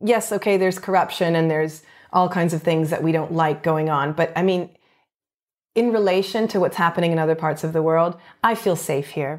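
On a very clean recording with a silent background, a woman with a Canadian accent and a normal speaking voice talks at a fairly quick pace. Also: fairly low pitch for a woman, fairly even intonation. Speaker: actor. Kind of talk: casual interview chat. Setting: home.

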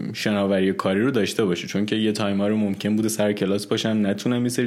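The man's voice sits at a fairly low pitch. He speaks at a very fast pace. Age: 20s. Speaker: backend developer. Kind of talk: interview.

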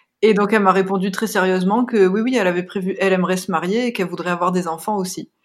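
The woman's medium-pitched voice shows ordinary pitch variation. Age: 30s. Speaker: expectant mother. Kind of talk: testimony.

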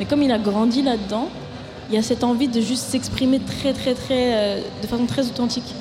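Music plays behind a woman with a high pitch and an audible room echo. She talks fairly quickly in a monotone, flat way at very even loudness. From Paris suburbs, France. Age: 20s. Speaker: singer-songwriter. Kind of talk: casual interview. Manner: halting.

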